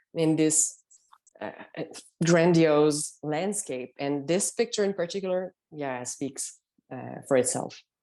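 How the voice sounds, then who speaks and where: Against a quiet background, a woman speaks with a non-native accent. Her pace is fairly slow. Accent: noticeable foreign. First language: not English. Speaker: long-distance hiker. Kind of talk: podcast interview. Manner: hesitant, with fillers.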